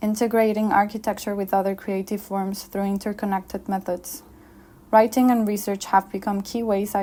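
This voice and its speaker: This woman speaks with a Spanish accent at a medium pitch, her tone dark and mellow. Her intonation is monotone and flat, and her pace is fairly quick. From Mexico City. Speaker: architect. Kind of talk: conference presentation. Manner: formal.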